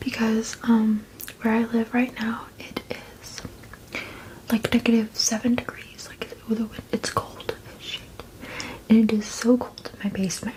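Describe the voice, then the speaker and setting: A woman whispers at a fairly slow pace with long, frequent pauses. Noticeable background noise is present. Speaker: ASMR creator. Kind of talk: casual ASMR eating chat. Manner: whispered.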